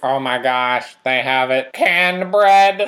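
A put-on character voice at a low-to-middle pitch and a fairly slow pace

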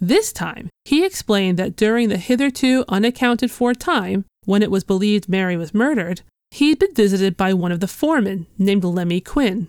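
A woman speaks in a plain, everyday voice at a medium pitch and a fairly quick pace, with lively intonation and a dry, close sound with no echo. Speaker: podcast host. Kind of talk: true-crime historical narration, scripted and read in measured storytelling. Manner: measured, serious, steady.

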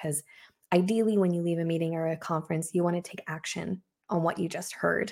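A woman speaks in a plain, everyday voice with a fairly low pitch. Her pace is fairly quick and her intonation fairly even. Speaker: creative consultant and graphic recorder. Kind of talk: casual interview chat.

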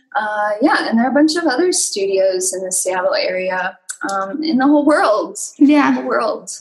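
Amid audible room echo, a woman with an American accent talks at a moderate pace, her fairly high voice making very wide pitch swings. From US Midwest, western Wisconsin. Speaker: movement instructor. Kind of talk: interview. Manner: hesitant, many fillers.

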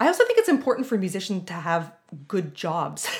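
Her pitch medium and her intonation lively, a woman speaks in a somewhat breathy voice. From Southern Ontario, Canada. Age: 40s. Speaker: music professor. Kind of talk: interview.

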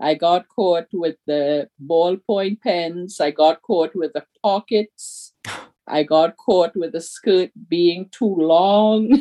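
A woman with a non-native accent and a fairly low pitch, at a very slow pace. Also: ordinary pitch variation. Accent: non-native English accent, mocked as a child. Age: 60s. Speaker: storyteller, actor and activist. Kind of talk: casual interview conversation. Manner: animated, laughs often.

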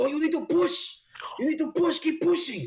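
This man puts on a character voice pitched extremely high. He moves at a fairly quick pace. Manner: firm, urging.

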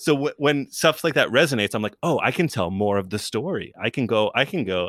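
On a very clean recording with a silent background and a dry, close sound with no echo, a man speaks at a very fast pace with lively intonation and hardly any pauses. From New York, Westchester. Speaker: comedian. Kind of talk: casual chat. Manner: animated.

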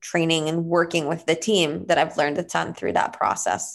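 At a moderate pace and a fairly low pitch, a woman speaks with an Israeli accent over a quiet background. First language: Hebrew. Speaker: entrepreneur. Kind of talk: interview.

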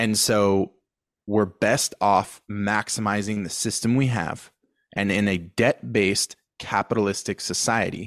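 On a very clean recording with a silent background and a dry, close sound with no echo, a man with a Californian accent talks at a fairly slow pace, his fairly low voice held to fairly even intonation. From San Diego, California. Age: 30s. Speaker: online educator, wealth coach. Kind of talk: casual podcast conversation.

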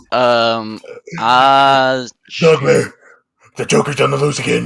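A man's put-on character voice at a medium pitch, delivered at a very slow pace. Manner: grim, dramatic.

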